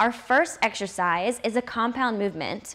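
A woman's voice rises and falls in an ordinary way, with a quiet background behind her. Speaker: fitness trainer. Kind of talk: tutorial. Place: gym. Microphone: lapel.

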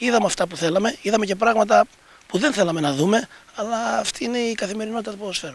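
A high-pitched man speaks at a very fast pace, the sound dry with no echo. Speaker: team coach. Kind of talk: post-match interview. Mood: calm, analytical. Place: stadium. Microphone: handheld.

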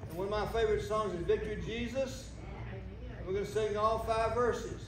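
A man is speaking in a room with audible echo. Light background noise sits under his voice. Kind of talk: announcements to congregation. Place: church. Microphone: camera far.

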